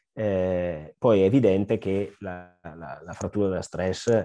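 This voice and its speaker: A man with a Lombard accent speaks in a very deep, low pitch, his dark, mellow tone carrying fairly even intonation. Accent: Brescia (Lombard). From northern Italy, Brescia (Lombardy). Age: 40s. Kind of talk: interview. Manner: hesitant, many fillers.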